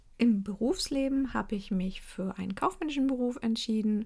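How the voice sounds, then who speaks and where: A somewhat breathy female voice with ordinary pitch variation. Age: 30s. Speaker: podcast host and cloth diaper consultant. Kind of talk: casual monologue.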